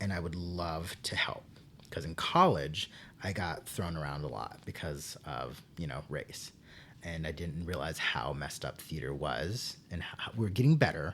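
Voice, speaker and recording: A man with an American accent talks in a very deep, low voice with vocal fry. His intonation is lively and his pace is moderate. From Texas. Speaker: theater teacher. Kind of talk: casual interview chat. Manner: halting, many fillers and restarts.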